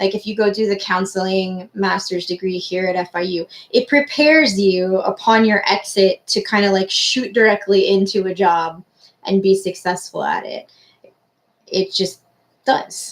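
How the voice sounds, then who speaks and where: A woman with a normal speaking voice talks at a medium pitch, keeping a moderate pace and ordinary pitch variation. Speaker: university careers advisor. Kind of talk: online class talk.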